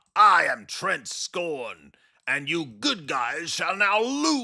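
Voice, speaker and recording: This is a put-on character voice at a middle pitch. Delivery is very slow. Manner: theatrical, menacing, boastful.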